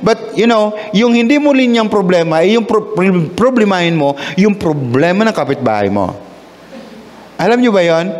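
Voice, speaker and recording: Noticeable background noise and audible room echo surround a man whose voice sits high in pitch. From Visayas, Philippines. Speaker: pastor. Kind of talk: sermon. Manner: halting, with repetitions and fillers.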